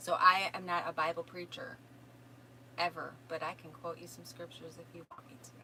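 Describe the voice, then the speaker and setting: Noticeable background noise surrounds a woman with a Minnesotan accent, her fairly low voice moving at a fairly quick pace. Her intonation stays monotone and flat while her loudness swings widely. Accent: Minnesota. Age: 50s. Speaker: self-help course teacher and energy healer. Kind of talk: live stream answering viewer questions. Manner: casual, conversational.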